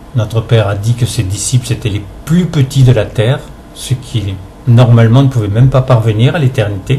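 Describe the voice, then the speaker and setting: A man with a medium pitch and ordinary pitch variation talks at a moderate pace, with noticeable background noise behind him. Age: 70s. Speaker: spiritual healer. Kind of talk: religious testimony monologue. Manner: hesitant, many fillers.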